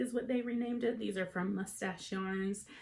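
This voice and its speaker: A woman's somewhat breathy voice, dark and mellow in tone, medium in pitch, with an American accent. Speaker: knitting podcaster. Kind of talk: casual chat. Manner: conversational with frequent fillers.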